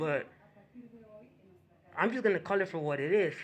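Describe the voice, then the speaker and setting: With a Spanish accent, a man speaks at a high pitch with lively intonation. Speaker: YouTube commentator. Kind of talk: reaction commentary. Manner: halting.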